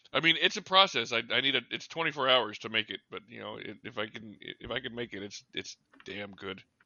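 A man with a plain, everyday voice speaks at medium pitch and a fairly quick pace. His intonation is lively, with big swings in loudness. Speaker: podcast host. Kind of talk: casual banter podcast.

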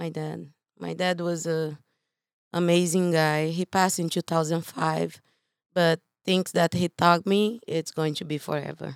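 With a Brazilian accent, a woman speaks at a fairly slow pace and fairly low pitch. Her intonation is monotone and flat. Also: dry, close sound with no echo, very clean recording, silent background. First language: Portuguese. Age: 40s. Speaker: real estate investor and coach. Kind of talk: casual interview.

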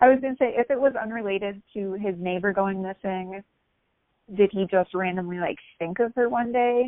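Moving at a moderate pace, a woman talks with a plain, everyday voice. Her pitch is medium and varies in an ordinary way. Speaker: podcast host. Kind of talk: interview.

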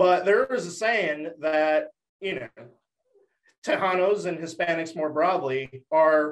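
A man speaks at a fairly slow pace. His pitch is high. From Dallas, Texas.

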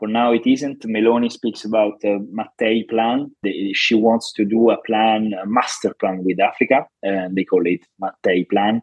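A man with an Italian accent talks at a moderate pace. His pitch is medium and his intonation fairly even. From Italy. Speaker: journalist and foreign policy analyst. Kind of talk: interview. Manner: halting, with repetitions.

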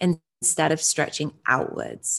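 A woman with a British accent speaks at a very deep, low pitch. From UK. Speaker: identity coach. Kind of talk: casual interview.

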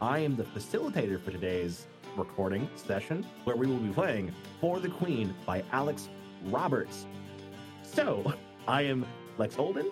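Over background music, a man of medium pitch talks at a moderate pace with very wide pitch swings and long, frequent pauses. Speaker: game facilitator, podcast host.

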